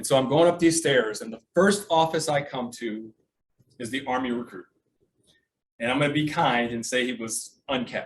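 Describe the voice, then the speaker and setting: A man's ordinary speaking voice at medium pitch, with ordinary pitch variation, a moderate pace and big swings in loudness. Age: 60s. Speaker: military veteran telling his life story. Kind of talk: personal storytelling talk at a sales meeting. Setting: meeting with audience.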